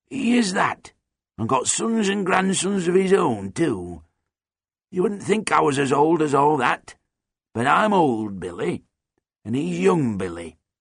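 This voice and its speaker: A man's put-on character voice, raspy, with very wide pitch swings, a fairly slow pace, and long, frequent pauses. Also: fairly high pitch for a man. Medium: read story. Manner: terse, folksy, chuckling.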